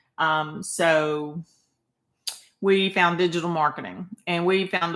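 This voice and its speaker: A woman with a Southern US accent and a fairly low pitch. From Arkansas. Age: 60s. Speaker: online marketer. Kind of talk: livestream sales pitch. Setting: live video stream.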